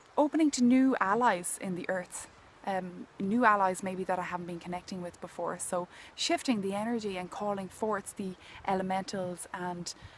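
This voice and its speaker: A woman speaks in an Irish accent. Her pitch sits in the medium range. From Ireland. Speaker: healing mentor and nature intuitive. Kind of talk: contemplative talk to camera outdoors. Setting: outdoors.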